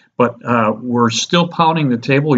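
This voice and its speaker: Male speech at a moderate pace, with ordinary pitch variation. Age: 60s. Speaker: real estate investment advisor. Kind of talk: casual investment talk to camera. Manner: halting, many fillers.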